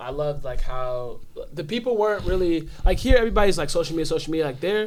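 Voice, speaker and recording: Very fast speech with an American accent, lively intonation, audible room echo and noticeable background noise. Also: man, high pitch for a man. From Los Angeles, with teen years in Nigeria. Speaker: podcast guest. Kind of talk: casual interview chat.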